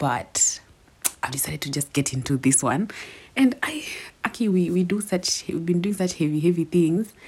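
A woman speaks quietly and somewhat breathily in a fairly low voice. Her intonation is lively, and her pace is moderate. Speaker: podcast host. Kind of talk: casual monologue. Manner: quiet, low.

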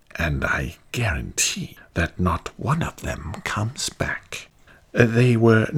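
A man puts on a character voice at a medium pitch, speaking very slowly. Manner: proud, mocking.

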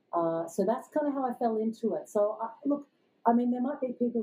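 Fairly high in pitch, a woman talks with an Australian accent. She moves at a fairly quick pace. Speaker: sales coach. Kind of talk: interview.

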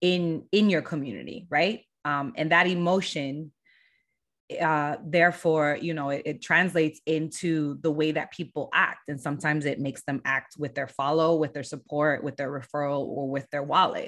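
A woman with an American accent, very deep and low in pitch with ordinary variation, at a moderate pace in a very clean recording with a silent background. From Southern California, San Diego. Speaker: brand agency founder. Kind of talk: podcast interview.

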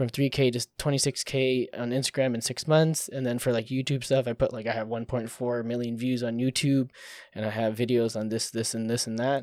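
The delivery comes at a fairly quick pace. The intonation is monotone and flat. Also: man, medium pitch for a man. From US, California Bay Area (Filipino-American). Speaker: podcast co-host, photographer and YouTuber. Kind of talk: casual chat.

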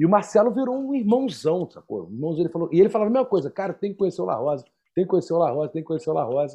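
A man talks at a very fast pace in a high voice. His pitch swings very widely. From Rio de Janeiro, Brazil. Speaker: percussionist and podcast co-host. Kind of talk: casual chat.

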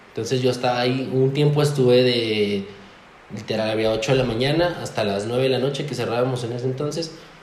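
A man at a fairly quick pace with fairly even intonation, amid audible room echo and noticeable background noise. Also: medium pitch for a man. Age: 20s. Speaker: café owner. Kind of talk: casual chat.

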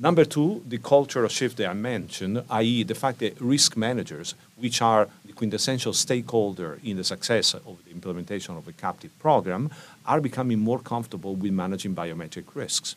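Talking fairly quickly with a normal speaking voice, a man uses medium pitch, lively intonation, and big swings in loudness. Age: 50s. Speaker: insurance network executive. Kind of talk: interview.

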